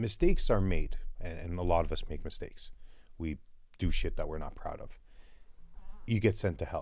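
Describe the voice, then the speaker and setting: A man speaks with long, frequent pauses. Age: 30s. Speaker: podcast host. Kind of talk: casual chat.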